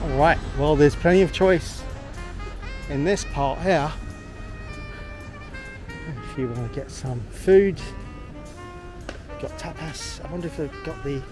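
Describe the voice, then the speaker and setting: Clear music plays behind a man who speaks at a fairly slow pace with long, frequent pauses. His loudness swings widely, and the sound is dry with no echo. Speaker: travel vlogger. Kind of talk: casual vlog chat. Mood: relaxed, pleased. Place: street. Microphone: phone near.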